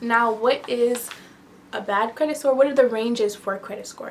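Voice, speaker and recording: A woman with a fairly high pitch talks at a moderate pace while noticeable background noise continues. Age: 20s. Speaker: lifestyle YouTuber. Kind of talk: casual tutorial vlog. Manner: conversational with fillers.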